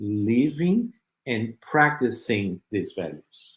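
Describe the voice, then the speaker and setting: This man's pitch swings very widely, and his voice is somewhat breathy. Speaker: spiritist speaker. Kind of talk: virtual religious talk. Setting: web radio / online broadcast. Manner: halting, many fillers.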